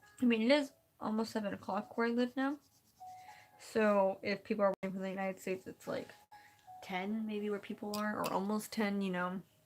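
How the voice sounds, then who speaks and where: Music sits in the background as a woman speaks at a medium pitch and fairly quick pace, with fairly even intonation and long, frequent pauses. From California. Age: young. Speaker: live streamer. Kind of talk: casual chat. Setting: live stream. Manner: fast, halting.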